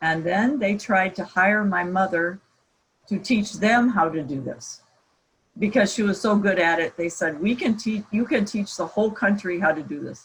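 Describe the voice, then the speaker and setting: A woman's medium-pitched, somewhat breathy voice in an American accent, at a moderate pace with ordinary pitch variation. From US Midwest, Iowa. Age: 60s. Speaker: professor. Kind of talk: guest talk at online camp.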